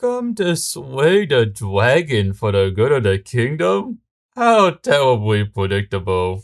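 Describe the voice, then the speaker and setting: On a very clean recording with a silent background, a man puts on a character voice at a medium pitch and a fairly slow pace. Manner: haughty, sarcastic.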